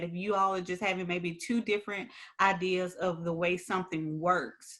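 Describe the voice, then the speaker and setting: The delivery comes in an unremarkable speaking voice at a moderate pace with fairly even intonation. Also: woman. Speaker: HR podcast co-host. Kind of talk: casual chat.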